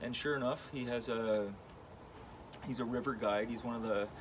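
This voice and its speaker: A man speaks at a medium pitch in a flat monotone. Audible room echo and noticeable background noise surround his voice. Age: 40s. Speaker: wood sculptor and artist. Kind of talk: vlog monologue with reading aloud of own email. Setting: in his studio. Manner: casual, with many fillers.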